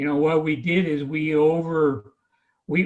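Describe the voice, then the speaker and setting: In an American accent, a man talks at a fairly slow pace and a fairly high pitch, with an unremarkable speaking voice. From Oregon coast, North Bend. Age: 60s. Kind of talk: panel discussion.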